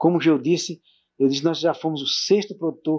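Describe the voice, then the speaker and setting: Little sound comes from the background, which stays quiet. The man's pace is moderate. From Brazilian Northeast. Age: 60s. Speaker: former mayor, local pioneer. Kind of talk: oral history interview. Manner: halting.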